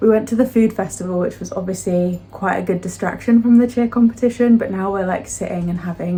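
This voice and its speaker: A woman speaks at a medium pitch with ordinary pitch variation. Her tone is dark, mellow and somewhat breathy. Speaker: booktuber and novelist. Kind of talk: casual vlog. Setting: outdoors and in a shepherd's hut.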